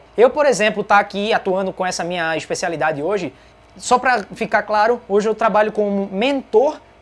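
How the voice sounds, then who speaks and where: This woman has a fairly high pitch and an animated tone. She talks at a fairly quick pace with lively intonation. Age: 20s. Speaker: podcast host. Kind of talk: casual live Q&A.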